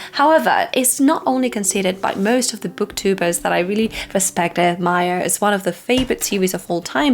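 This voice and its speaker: A woman with a non-native accent talks at a fairly quick pace in a medium pitch, her intonation lively. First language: not English. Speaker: book reviewer. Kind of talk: casual video review.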